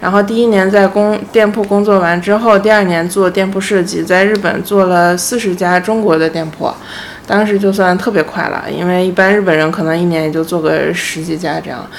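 Her voice sits at a medium pitch. Audible room echo and noticeable background noise surround the woman as she speaks. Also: fairly even intonation, fairly quick pace. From Beijing, China. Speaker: independent designer. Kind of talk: casual chat. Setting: host's home.

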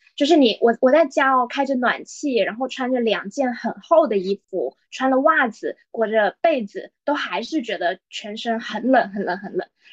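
A woman at a high pitch and a moderate pace, with hardly any pauses, in a dry, close sound with no echo. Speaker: podcast co-host. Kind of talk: casual chat.

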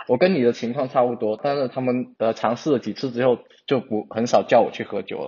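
Fairly even intonation and a fairly quick pace from a man pitched in the medium range. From China. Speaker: English-major graduate. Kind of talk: casual chat. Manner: halting, frequent repetitions.

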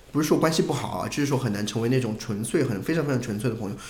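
Room echo can be heard around the man's voice, along with noticeable surrounding noise. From Hunan, China. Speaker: livestreamer. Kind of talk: casual chat.

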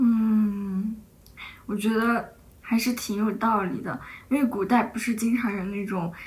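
A somewhat breathy woman's voice, fairly high in pitch, with fairly even intonation and a very slow pace, plus audible room echo. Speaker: podcast host. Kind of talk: casual chat.

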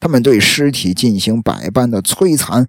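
The delivery is fairly slow. Pitch rises and falls very widely. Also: man. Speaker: true crime podcast host. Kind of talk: casual true-crime storytelling. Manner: chatty, filler-heavy.

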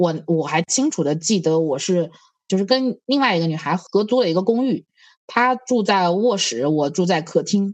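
A woman at medium pitch speaks at a moderate pace, her pitch swinging very widely while her loudness stays very even. The background is quiet. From Hunan. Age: 30s. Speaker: podcast host. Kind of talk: casual chat.

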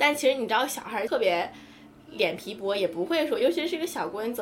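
Over music in the background, a woman with a high pitch speaks at a fairly quick pace with lively intonation. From small Chinese city. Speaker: podcast co-host. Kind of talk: casual chat.

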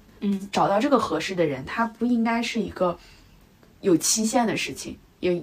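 Lively intonation marks an unremarkable speaking voice delivered at a fairly quick pace. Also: woman. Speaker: podcast co-host, designer. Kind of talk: casual chat.

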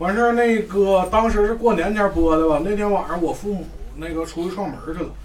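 A man speaks fairly quickly in a Northeastern Chinese accent, his pitch high and his intonation fairly even. Noticeable background noise runs behind him. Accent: Northeastern Mandarin. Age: 30s. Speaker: fan attendee. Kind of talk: casual group sharing.

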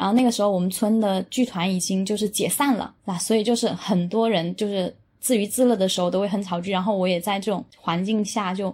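Somewhat breathy, a woman talks at a moderate pace in a medium pitch with ordinary pitch variation. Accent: strong Chaoshan. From Jieyang, Chaoshan, Guangdong. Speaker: Chinese opera enthusiast guest. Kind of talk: casual chat.

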